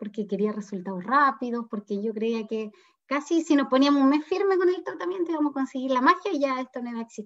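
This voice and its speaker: A woman talks at a very fast pace in a high pitch, her voice making very wide pitch swings. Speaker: parent of a child who stutters. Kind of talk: interview.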